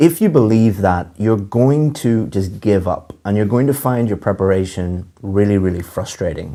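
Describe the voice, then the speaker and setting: With a fairly low pitch and a dark, mellow tone, a man talks at a moderate pace using lively intonation. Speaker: English teacher. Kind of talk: lecture. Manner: clear.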